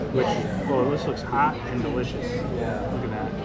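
A man is speaking at a moderate pace. Crowd noise fills the background. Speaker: food vlogger. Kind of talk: casual vlog chat. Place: bar. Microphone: camera far.

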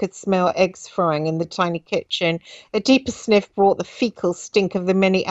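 The clip has a natural reading voice. That is how it comes across throughout.

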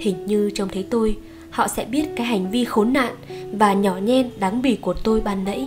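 Over music in the background, a woman with a Northern Vietnamese accent speaks at a fairly high pitch with ordinary pitch variation. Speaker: audiobook narrator. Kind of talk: audiobook short story reading.

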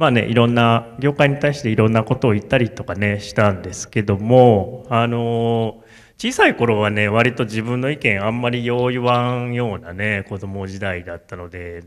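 Against a quiet background, a man talks at medium pitch and a moderate pace with hardly any pauses, his intonation fairly even but his loudness swinging widely. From Japan, Kamo, Tokushima; Tokushima, Japan. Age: 40s. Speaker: tea farmer; speaker. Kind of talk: solo stage talk. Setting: stage with audience. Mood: relaxed, reflective, smiling. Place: hall. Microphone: handheld.

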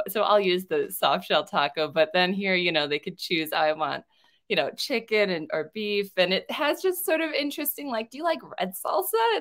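With an American accent, a woman speaks at a medium pitch and moderate pace, her pitch swinging very widely. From US, partly raised in Mexico. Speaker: online ESL teacher. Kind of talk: tutorial.

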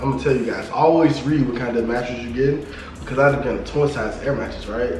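A man talks in a room with audible echo and light background noise. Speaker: family channel co-host. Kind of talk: casual vlog chat. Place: home room. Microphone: camera far.

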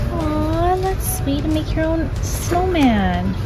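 Music plays in the background as a woman speaks. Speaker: shopping vlogger. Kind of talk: casual vlog chat. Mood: amused, light. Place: shop. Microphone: phone near.

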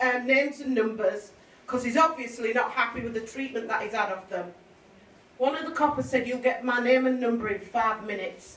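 A woman's high voice with ordinary pitch variation at a fairly quick pace, carrying audible room echo. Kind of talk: public speech. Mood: grave, emotional account. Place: hall. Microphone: camera far.

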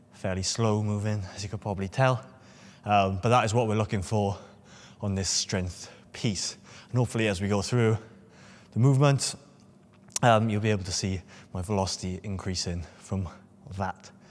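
With long, frequent pauses, a man speaks at a moderate pace in a fairly low voice with fairly even intonation. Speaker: strength coach. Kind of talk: casual vlog tutorial. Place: gym.

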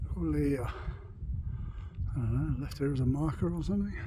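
Over light background noise, a man speaks at a fairly slow pace. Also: dry sound with no echo. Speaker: hiking pilgrim vlogger. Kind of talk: casual vlog chat. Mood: cheerful, enjoying the view. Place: open country. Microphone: phone near.

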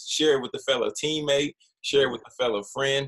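The voice has a bright, sharp tone. The background is quiet. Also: man. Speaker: podcast host. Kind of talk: casual interview. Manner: halting, repeats words. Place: home room. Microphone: webcam.

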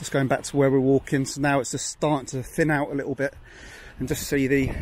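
A man speaks over light background noise. The sound is dry, with no echo. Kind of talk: casual walking commentary. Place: open country. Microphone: phone near.

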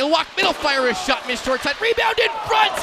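A man uses a raised, projected voice over noticeable background noise. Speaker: hockey play-by-play announcer. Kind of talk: live hockey play-by-play commentary. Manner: clipped staccato player-name calls.

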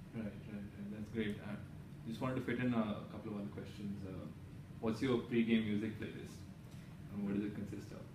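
Over noticeable background noise, a man with a fairly low pitch talks at a fairly quick pace with fairly even intonation and long, frequent pauses. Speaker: sports interviewer. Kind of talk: interview. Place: office.

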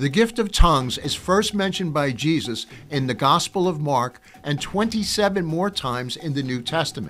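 A man talks at a moderate speed. Soft music can be heard faintly behind him. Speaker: podcast host. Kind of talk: promotional teaser monologue. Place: studio. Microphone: studio mic.

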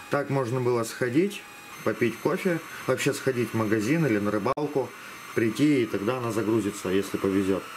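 There is noticeable background noise. Over it, a man speaks at a fairly quick pace. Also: ordinary pitch variation. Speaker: hobbyist robot builder; hobbyist demonstrator. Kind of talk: video tutorial and demonstration. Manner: hesitant with filler sounds. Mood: relaxed, wry humor. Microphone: phone near.

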